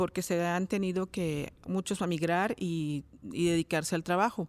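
On a very clean recording with a silent background, a woman with a medium pitch speaks fairly slowly in a plain, everyday voice with fairly even intonation. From Mexico, Cuautla, Morelos. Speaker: education professor. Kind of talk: interview. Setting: studio.

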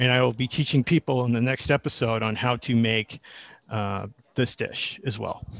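Captured as a very clean recording with a silent background and a dry, close sound with no echo, a man with an American accent uses an unremarkable speaking voice at medium pitch, fairly even intonation and a moderate pace. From Massachusetts (Needham). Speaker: chef. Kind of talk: casual interview.

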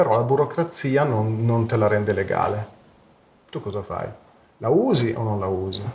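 A somewhat breathy man at medium pitch, moderate pace and ordinary pitch variation, with long, frequent pauses. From Italy, Turin. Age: 50s. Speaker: psychedelic research network co-founder. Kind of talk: interview. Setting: live stream. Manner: halting, many repetitions.

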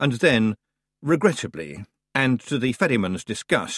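Quiet background behind a natural reading voice

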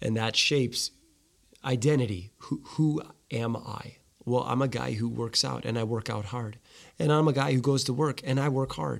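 This is a man with an ordinary speaking voice at a medium pitch. He keeps a moderate pace and ordinary pitch variation. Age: 40s. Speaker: podcast host. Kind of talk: casual interview.

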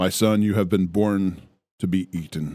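A man's put-on character voice, very deep and low in pitch, solemn in tone, at a moderate pace. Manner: solemn, booming, godly.

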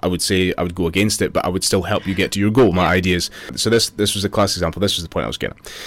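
Over noticeable background noise, a man with a Scottish Borders accent talks at a very fast pace in a very deep, low pitch with fairly even intonation. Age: 30s. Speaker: personal trainer and business owner. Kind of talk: casual chat.

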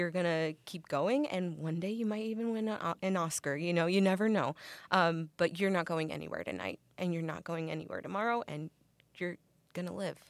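In a very clean recording with a silent background, a woman with a plain, everyday voice and a fairly low pitch talks at a fairly quick pace with ordinary pitch variation. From Mexican-American background. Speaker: actress. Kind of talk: interview. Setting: studio.

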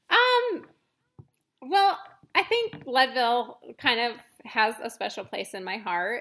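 A woman speaks with an American accent in a fairly high pitch and a bright, sharp tone. Her intonation is lively, and her pace is fairly slow. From Montana. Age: 30s. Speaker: mountain bike racer. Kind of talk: casual interview.

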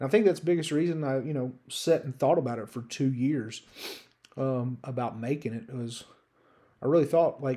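A man speaks at medium pitch and a fairly quick pace. His intonation is lively. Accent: American. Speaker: solo sports betting podcaster. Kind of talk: casual monologue. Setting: solo podcast recording. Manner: hesitant with many fillers.

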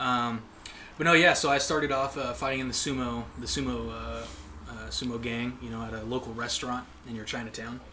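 A man delivers his words fairly quickly, and audible room echo fills the space around him. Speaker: podcast guest. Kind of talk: casual chat.

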